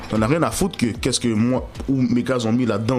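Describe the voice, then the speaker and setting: Over noticeable background noise, a man with a Montreal accent talks at a fairly quick pace and a medium pitch. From Montreal, Quebec. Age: 20s. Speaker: rapper. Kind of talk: interview. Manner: casual, slangy.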